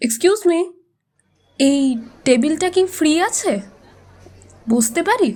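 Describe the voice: In a put-on character voice, a woman speaks slowly at an extremely high pitch, with a slightly mellow tone and lively intonation.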